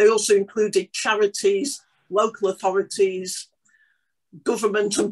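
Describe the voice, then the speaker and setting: Over a quiet background, a woman talks at a moderate pace. Her intonation is lively. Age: 60s. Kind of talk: online panel presentation. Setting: video call. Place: home room. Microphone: video call.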